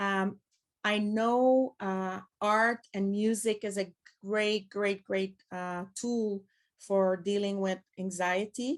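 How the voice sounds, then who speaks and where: A woman speaks very slowly in a Quebec French accent, her pitch medium. Her intonation stays fairly even against a quiet background. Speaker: pedagogue and former teacher. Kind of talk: conference presentation. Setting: conference with audience.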